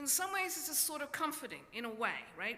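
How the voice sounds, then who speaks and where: A woman's voice with very wide pitch swings and audible room echo. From Australia. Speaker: professor. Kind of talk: lecture. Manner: hesitant, with many fillers.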